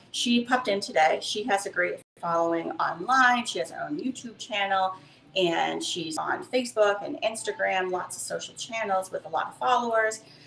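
At a moderate pace, a woman speaks with lively intonation, big swings in loudness, and a medium pitch. Light background noise and audible room echo can be heard. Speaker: craft studio owner hosting a live stream. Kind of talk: casual live-stream intro chat. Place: workshop. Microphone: camera far.

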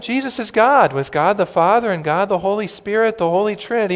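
A man is speaking. His pace is moderate. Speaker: preacher. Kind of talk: sermon. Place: church.

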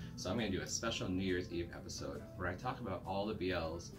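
Clear music plays behind a man speaking. His pitch is very deep and low, and his pace is fairly quick. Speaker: video reviewer. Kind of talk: casual vlog chat, review commentary. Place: home room.

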